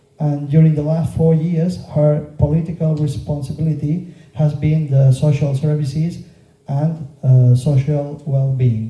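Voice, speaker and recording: This man has a fairly high pitch and a dark, mellow, somewhat breathy tone, speaking at a fairly slow pace in a monotone, flat delivery. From Mallorca, Spain. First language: Catalan. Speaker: local politician and teacher. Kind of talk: political campaign speech. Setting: meeting room with audience. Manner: halting, with fillers.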